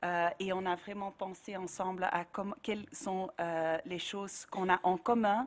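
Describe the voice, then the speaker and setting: Her delivery is very slow. This woman's voice sits at a medium pitch. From Flanders, Belgium. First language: Dutch (speaking French). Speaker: NGO director. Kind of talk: panel discussion. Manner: halting.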